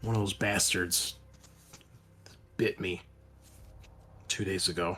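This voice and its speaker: Putting on a character voice, a man speaks very deep and low, raspy and monotone with flat intonation, at a fairly slow pace. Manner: weary.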